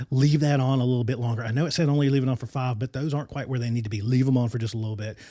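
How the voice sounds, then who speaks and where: A man's animated voice at a medium pitch, with ordinary pitch variation and a dry, close sound with no echo. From US mountain region (Appalachia). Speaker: podcast host. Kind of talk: podcast monologue. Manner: loud.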